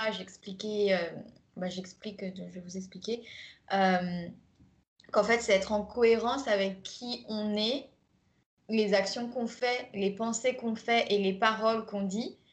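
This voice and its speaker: A woman's fairly high, somewhat breathy voice, very slow and fairly even in intonation, with long, frequent pauses and big swings in loudness. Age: 20s. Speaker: life coach. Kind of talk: recorded masterclass, conversational presentation. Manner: hesitant, many fillers.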